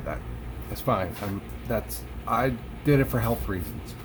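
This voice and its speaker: A man's voice with audible room echo. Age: 40s. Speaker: vlogger sharing weight-loss surgery experience. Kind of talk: casual vlog monologue. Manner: halting, many fillers and restarts.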